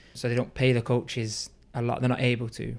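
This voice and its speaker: A man with a Liverpool accent and a medium pitch, in a very clean recording with a silent background. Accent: Liverpool (Scouse) English. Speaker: youth soccer coach. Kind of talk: casual interview.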